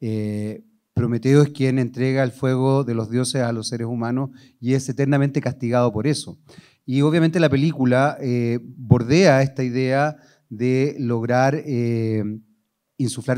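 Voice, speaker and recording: Against a quiet background, the voice has a dark, mellow tone, fairly even intonation and a fairly slow pace. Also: man, medium pitch for a man. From Chile. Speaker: journalist and TV presenter moderating a panel; journalist, TV presenter. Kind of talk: panel moderation. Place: hall. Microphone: handheld.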